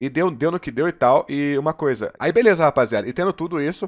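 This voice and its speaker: A man's fairly high voice at a fairly quick pace, with lively intonation and a quiet background. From Brazil, Contagem (Minas Gerais); Minas Gerais, Brazil. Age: 20s. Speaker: gaming YouTuber; streamer. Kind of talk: personal confessional monologue. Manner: hesitant, many fillers and repetitions. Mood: personal, reflective storytelling. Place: home room. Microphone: headset.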